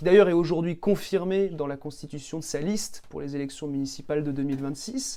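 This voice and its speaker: This man talks at a fairly quick pace, his fairly high pitch carrying a dark, mellow tone and ordinary pitch variation. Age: 20s. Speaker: local politician, candidate. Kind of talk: radio interview. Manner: hesitant, many fillers.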